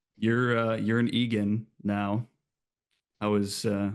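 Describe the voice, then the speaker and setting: With a Minnesotan accent, a man speaks at a fairly low pitch in a monotone, flat intonation. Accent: Minnesota. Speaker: podcast co-host. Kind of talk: casual chat.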